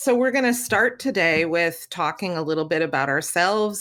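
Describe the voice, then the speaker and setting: Lively in intonation, a woman with a fairly low pitch and a bright, sharp tone is heard on a very clean recording with a silent background. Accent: Canadian. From Canadian Prairies. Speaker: podcast co-host, patient advocate. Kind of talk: casual podcast conversation.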